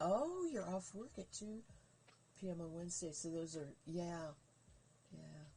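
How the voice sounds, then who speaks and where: A somewhat breathy, dark and mellow voice with ordinary pitch variation and long, frequent pauses. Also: woman, fairly low pitch for a woman, fairly slow pace. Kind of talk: casual live stream chat. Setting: live stream.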